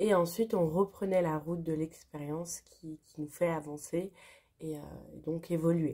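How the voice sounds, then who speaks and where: This woman speaks at a fairly slow pace in a fairly low pitch. Her intonation stays fairly even. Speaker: spiritual channel host. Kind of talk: spontaneous spiritual vlog monologue.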